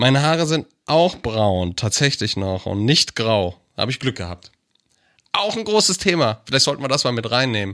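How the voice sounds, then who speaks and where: A man at a medium pitch and moderate pace, with very wide pitch swings. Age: 40s. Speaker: podcast co-host and producer. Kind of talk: casual chat.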